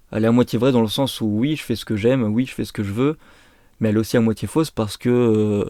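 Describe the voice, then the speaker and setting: The voice has a dark, mellow tone on a very clean recording with a silent background. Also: man. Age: 20s. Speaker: skateboarder and brand founder. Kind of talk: personal vlog monologue. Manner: unscripted, hesitant.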